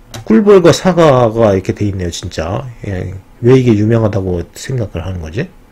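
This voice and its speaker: A man with a fairly low pitch speaks at a moderate pace with lively intonation over noticeable background noise. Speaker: educational YouTuber. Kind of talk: casual commentary reading from screen. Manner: conversational, frequent fillers.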